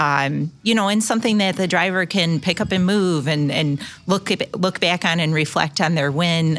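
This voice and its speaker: A woman with a normal speaking voice talks at a moderate pace, her pitch fairly low with ordinary variation, in a very clean recording with a silent background. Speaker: corporate marketing director. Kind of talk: interview. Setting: at a live event venue.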